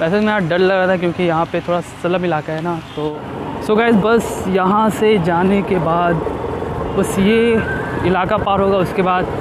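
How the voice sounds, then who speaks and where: A man talks at a fairly slow pace, and the sound is dry with no echo. Background noise is noticeable. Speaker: food vlogger. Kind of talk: casual vlog chat. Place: motorbike. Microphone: phone near.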